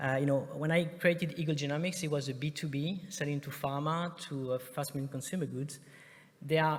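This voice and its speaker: Talking at a fairly quick pace, a man sounds somewhat breathy. His intonation stays fairly even. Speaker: startup investor and conference speaker. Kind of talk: conference presentation. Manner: fast; hesitant, many filler sounds.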